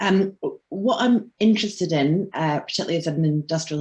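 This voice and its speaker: A Scottish accent marks this speech. It moves at a moderate pace. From Scotland. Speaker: industrial historian. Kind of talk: video call discussion. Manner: halting.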